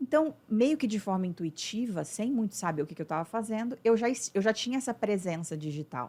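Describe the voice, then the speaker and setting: In a very clean recording with a silent background, a woman with a fairly high, dark and mellow voice speaks at a fairly quick pace with hardly any pauses and very wide pitch swings. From Brazil, Uberlândia, Minas Gerais. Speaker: business mentor, former lawyer. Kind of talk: podcast interview.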